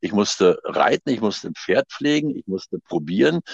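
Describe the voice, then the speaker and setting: A man speaks at a moderate pace, with a dry, close sound and no echo. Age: 60s. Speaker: actor and theatre director. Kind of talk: interview. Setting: phone call. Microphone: wife's mobile phone.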